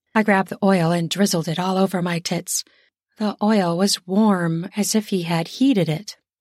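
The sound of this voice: The background is quiet. Intonation stays fairly even in this unforced reading voice.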